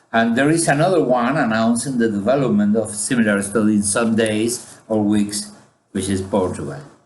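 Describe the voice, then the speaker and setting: A man speaks with lively intonation. Audible room echo surrounds his voice. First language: Spanish. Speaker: statistician. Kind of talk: conference presentation. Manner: halting, many fillers.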